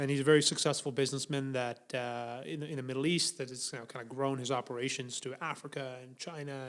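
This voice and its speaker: Pitched fairly high, a man speaks at a moderate pace. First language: not English. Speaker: podcast co-host. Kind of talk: casual chat. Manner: hesitant, many fillers and restarts.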